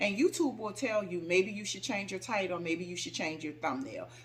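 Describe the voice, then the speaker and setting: A woman speaks loudly in a fairly low pitch. Her animated tone sounds bright and sharp. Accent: American. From New Orleans, US South. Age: 50s. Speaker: home decor YouTuber. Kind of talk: casual Q&A vlog. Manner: animated, sassy.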